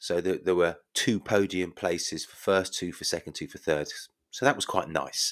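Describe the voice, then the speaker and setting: In an English accent, a man speaks with a very deep, low pitch and big swings in loudness, captured in a very clean recording with a silent background. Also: ordinary pitch variation, moderate pace. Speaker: podcast host. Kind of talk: podcast monologue. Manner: quiet and soft.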